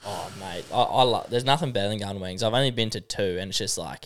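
A man with an Australian accent, fairly low pitch, ordinary pitch variation and a fairly quick pace. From Australia, Tamworth NSW. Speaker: podcast co-host. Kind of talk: casual chat. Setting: studio.

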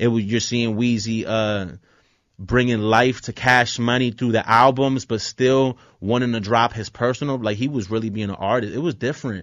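Intonation stays fairly even in an ordinary speaking voice. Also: man, medium pitch for a man, moderate pace. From Philadelphia, moved around a lot as a child. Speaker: musician. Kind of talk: casual interview.

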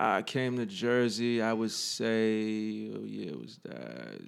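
At a very slow pace, a man with a New York accent speaks in a fairly low pitch on a very clean recording with a silent background. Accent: New York City. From New York City, the Bronx. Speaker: army veteran and fitness trainer. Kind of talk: casual interview.

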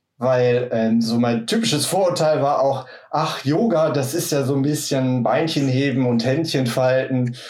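Audible room echo colors speech delivered at a moderate pace. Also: man. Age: 40s. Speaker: office worker and yoga practitioner. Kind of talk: casual chat.

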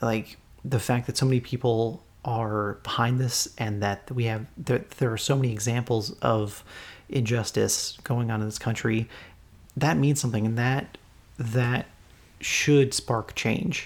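Heard in a very clean recording with a silent background, a man with an American accent speaks at medium pitch, somewhat breathy, with fairly even intonation. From United States. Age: 20s. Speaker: podcast host. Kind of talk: casual chat.

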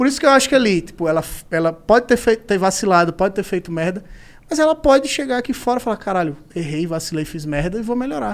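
With very wide pitch swings, a man with a high pitch speaks at a very fast pace. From Maceió, Northeast Brazil. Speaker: comedian. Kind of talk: casual chat.

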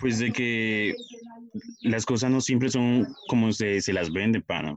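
This voice is a man's. Its pitch is medium. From Colombia, Puerto Tejada, Cauca. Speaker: communications student. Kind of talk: scripted narration.

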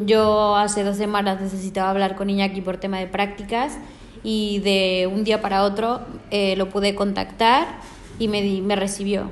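Woman at a medium pitch and moderate pace, with monotone, flat intonation, audible room echo and noticeable background noise. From Mexico. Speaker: hospitality management student. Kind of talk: interview.

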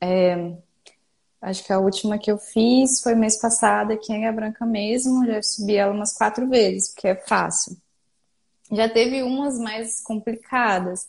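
A woman speaks at a fairly slow pace in an ordinary speaking voice, her fairly high pitch held in fairly even intonation. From Brazil, Espírito Santo. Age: 20s. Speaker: hiker and business owner. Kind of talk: casual interview. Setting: live online video call.

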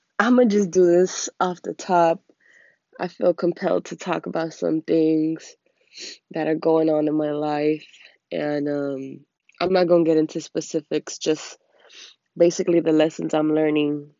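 A woman with a very deep, low voice speaks with long, frequent pauses. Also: fairly slow pace. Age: 20s. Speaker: vlogger. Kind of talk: personal monologue vlog. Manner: halting, many fillers.

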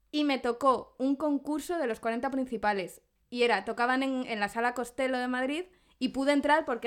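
Fairly quick speech with ordinary pitch variation. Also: woman, very clean recording, silent background. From Zamora, Spain. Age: 30s. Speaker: podcast co-host. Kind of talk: casual chat.

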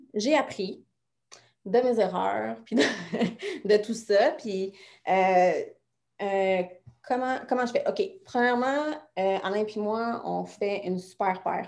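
A woman with a Quebec accent at a medium pitch, with ordinary pitch variation, a very slow pace and long, frequent pauses against a quiet background. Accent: Québécois French. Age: 30s. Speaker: fitness coach. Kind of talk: interview.

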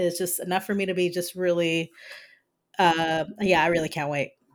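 A woman is speaking. The recording is very clean with a silent background. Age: 30s. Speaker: collectibles YouTuber and podcaster. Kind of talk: casual chat.

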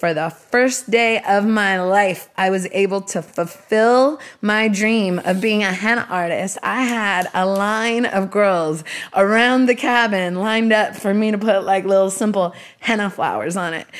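Using a normal speaking voice, a woman talks at a fairly slow pace and a medium pitch. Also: fairly even intonation. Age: 40s. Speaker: music executive and podcast host. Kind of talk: casual interview. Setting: guest's home.

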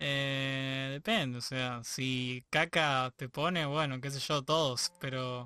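A man with a Rioplatense accent speaks at a very slow pace and medium pitch, with hardly any pauses. His tone is bright and sharp, the intonation fairly even, and the background quiet. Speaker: podcast host. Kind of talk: casual chat.

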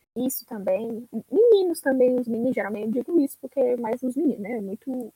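A woman's high, dark and mellow voice at a fairly quick pace, with ordinary pitch variation, dry and close with no echo. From Ceará, Brazil. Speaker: podcast guest. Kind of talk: casual chat.

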